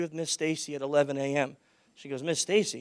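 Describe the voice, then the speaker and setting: A man talks with a fairly high pitch. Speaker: security conference speaker. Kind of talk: conference talk. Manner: loud, projecting; animated.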